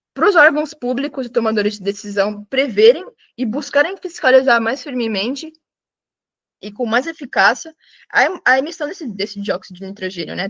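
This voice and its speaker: Recorded with a dry, close sound and no echo, a woman speaks over a quiet background. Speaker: student. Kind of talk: student presentation. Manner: fast; halting.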